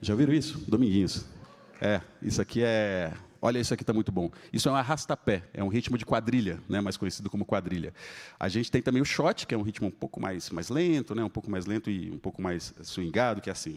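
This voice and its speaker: Over a silent background in a very clean recording, a man talks at a very fast pace, his fairly low pitch carried by lively intonation. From Espírito Santo, Brazil (Vitória). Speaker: pianist. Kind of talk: live concert talk between pieces. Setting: stage with audience. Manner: casual, conversational.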